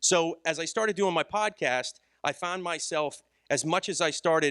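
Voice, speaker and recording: The tone is bright and sharp, with ordinary pitch variation. The recording is very clean with a silent background, and the sound is dry and close with no echo. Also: man. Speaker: conference speaker and podcaster. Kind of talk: conference talk. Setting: stage with audience. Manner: fast.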